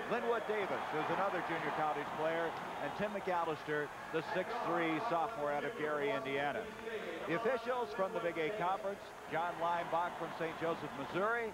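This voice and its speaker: Loud background noise behind a man at a moderate pace, the sound dry with no echo. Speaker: play-by-play sports announcer. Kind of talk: live commentary.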